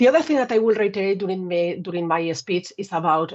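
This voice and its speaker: This woman speaks with a Spanish accent at a fairly low pitch. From Spain. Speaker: telecom engineer and manager. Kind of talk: conference talk.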